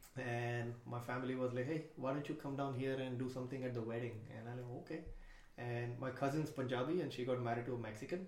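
A man with a Marathi accent at a medium pitch, a very fast pace and fairly even intonation, over noticeable background noise. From India. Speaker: stand-up comedian. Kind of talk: casual chat.

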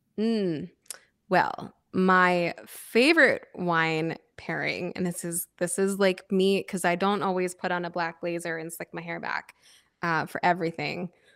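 An unremarkable speaking voice from a woman with an American accent, fairly low in pitch, with fairly even intonation at a fairly slow pace, on a very clean recording with a silent background. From US Northeast, Philadelphia area. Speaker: sommelier and wine influencer. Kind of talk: interview.

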